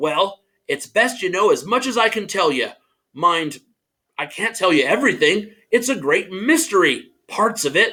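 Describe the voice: Against a quiet background, the voice is plain reading aloud.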